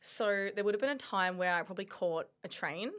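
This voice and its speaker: A woman in an Australian accent, medium in pitch with ordinary variation, at a moderate pace. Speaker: mindset coach. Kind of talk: casual chat.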